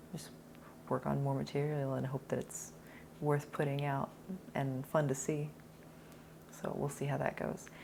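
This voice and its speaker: A quiet woman speaks at a moderate pace, leaving long, frequent pauses. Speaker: actor. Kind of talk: casual talk to camera. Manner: quiet, polite volume.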